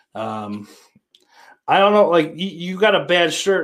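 A man speaks in a western New York accent at a moderate pace. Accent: western New York (Inland North) American. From western New York, between Rochester and Buffalo. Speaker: podcast host. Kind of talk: casual livestream chat reading comments. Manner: casual, profane.

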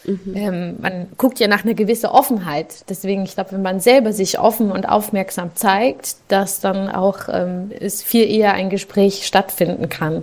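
Against noticeable background noise, a woman speaks at a fairly slow pace and medium pitch, with fairly even intonation and hardly any pauses. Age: 20s. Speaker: social worker and mother of two. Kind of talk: casual interview. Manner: hesitant, many fillers.

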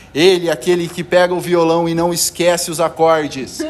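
The speech is at a fairly slow pace, with noticeable background noise. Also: man. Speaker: amateur podcast host. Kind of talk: casual chat among friends. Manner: playful, animated.

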